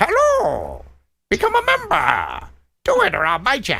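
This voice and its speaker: Someone puts on a character voice at an extremely high pitch. The pace is moderate. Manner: menacing, threatening.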